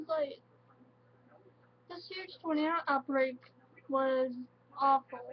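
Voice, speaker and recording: A woman talks at a very slow pace and a high pitch. Music plays in the background. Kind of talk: casual talk to camera. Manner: halting, emotional.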